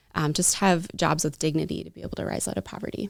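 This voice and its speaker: The speaker talks at a fairly quick pace with a slight Minnesota accent. The recording is very clean, with a silent background. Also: woman. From Minnesota, US. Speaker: direct sales partner for a fair trade company. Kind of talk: interview.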